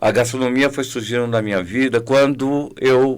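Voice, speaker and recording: In a very clean recording with a silent background, a man speaks at a medium pitch and moderate pace. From Bahia, Brazil (Salvador). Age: 60s. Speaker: restaurant consultant and culinary teacher. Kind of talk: podcast interview. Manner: hesitant, with many fillers.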